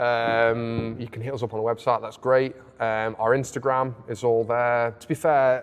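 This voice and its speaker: Music plays in the background as a man talks with an English accent. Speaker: clothing brand co-owner. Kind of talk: casual chat. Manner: loud.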